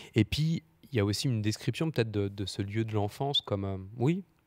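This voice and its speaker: A man speaks at a moderate pace with a fairly low pitch and a dark, mellow tone. The sound is dry with no echo, and the background is quiet. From eastern France, Doubs (Audincourt); eastern France. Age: 20s. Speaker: novelist; guest. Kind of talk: literary panel discussion. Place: studio. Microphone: handheld.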